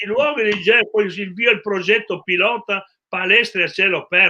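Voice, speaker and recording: A man with a high-pitched voice speaks at a moderate pace, his intonation lively. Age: 70s. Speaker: regional sports federation president. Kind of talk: live talk show discussion.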